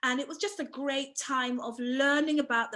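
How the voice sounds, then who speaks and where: Bright and sharp in tone, a woman with an English accent speaks with fairly even intonation. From England, Bristol. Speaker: author and former midwife. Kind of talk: interview.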